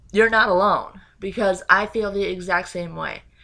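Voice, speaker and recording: A woman speaks in a bright, sharp tone at a medium pitch and a moderate pace. The intonation is fairly even, and the recording is very clean with a silent background. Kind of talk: casual talk to camera. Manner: hesitant, stuttering.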